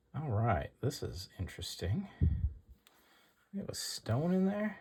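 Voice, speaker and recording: A man with a fairly high pitch speaks at a fairly slow pace, his voice somewhat breathy. His pitch swings very widely. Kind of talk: casual talk to camera.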